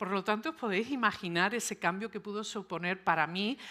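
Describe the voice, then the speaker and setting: With a Sevillian accent, a woman speaks fairly quickly at a medium pitch, her tone bright and sharp and her intonation lively, in a very clean recording with a silent background. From Seville, Spain (born and raised early in New York). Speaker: psychologist and speaker. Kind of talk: conference talk.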